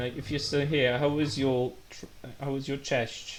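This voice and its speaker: With audible room echo, a man speaks at a moderate pace in a fairly high voice. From Poland. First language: Polish. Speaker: streamer. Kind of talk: casual gameplay live stream chat. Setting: live stream. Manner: animated.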